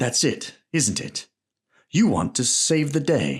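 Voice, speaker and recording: A man performs a put-on character voice with lively intonation at a fairly slow pace. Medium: read story. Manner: scornful, forceful.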